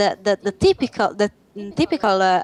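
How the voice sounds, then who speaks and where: A woman with an Italian accent speaks at a medium pitch in a dry, close sound with no echo. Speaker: games journalist. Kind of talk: panel discussion. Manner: halting.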